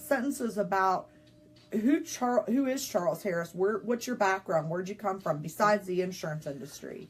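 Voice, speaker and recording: Speaking at a moderate pace, a woman with a slight Southern US accent has a medium-pitched, somewhat breathy voice. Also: lively intonation. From rural West Virginia. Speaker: insurance business owner. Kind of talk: casual interview on livestream. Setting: Facebook Live video.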